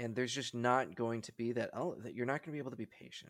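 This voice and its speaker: A man with an American accent speaks in a medium pitch with fairly even intonation. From Wisconsin, Milwaukee. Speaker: hockey podcast guest. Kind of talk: casual chat.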